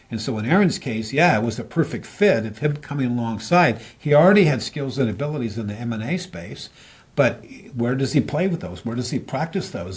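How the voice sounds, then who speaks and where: A somewhat breathy man's voice at medium pitch, fairly quick, with lively intonation. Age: 70s. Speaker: business consultant. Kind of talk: interview.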